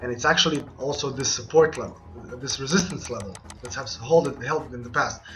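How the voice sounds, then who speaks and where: In a room with audible echo, a man with a fairly high pitch speaks at a fairly quick pace, with ordinary pitch variation and big swings in loudness. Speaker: trading analyst. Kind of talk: market analysis tutorial. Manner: fast.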